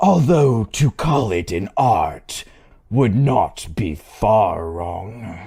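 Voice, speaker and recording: Putting on a raspy character voice, a man speaks very slowly at a medium pitch with very wide pitch swings. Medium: read story. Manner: dark, menacing, smiling.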